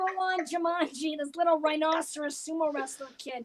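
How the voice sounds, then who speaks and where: A woman talks at a fairly slow pace. Her tone is animated. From Canada. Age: 50s. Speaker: comedian. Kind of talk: stand-up.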